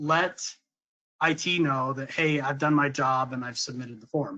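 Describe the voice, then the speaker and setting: Bright, sharp-toned man at a moderate pace against a quiet background. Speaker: software sales director presenting a demo. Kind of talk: webinar product demo. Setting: online webinar.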